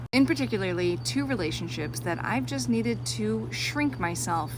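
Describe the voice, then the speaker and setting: A woman talks at a fairly quick pace amid noticeable background noise and audible room echo. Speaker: social media creator. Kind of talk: personal vlog monologue. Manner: loud.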